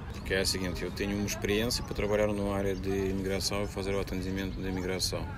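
At a very fast pace with hardly any pauses, a man with a Russian accent speaks in a very deep, low, monotone voice, with noticeable background noise and audible room echo. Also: very even loudness. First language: Russian (speaking Portuguese). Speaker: immigration support worker. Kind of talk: interview. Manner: halting.

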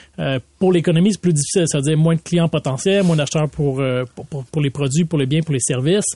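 With a Quebec accent, a man speaks in a fairly high pitch and a dark, mellow tone, his pitch varying in an ordinary way over a dry, close sound with no echo. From Laval, Quebec. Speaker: city mayor. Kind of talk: interview. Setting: studio.

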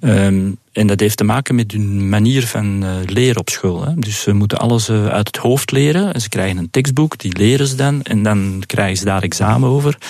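A man with a plain, everyday voice, fairly low in pitch with ordinary variation, at a moderate pace. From Flanders, Belgium. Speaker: business owner. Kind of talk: interview.

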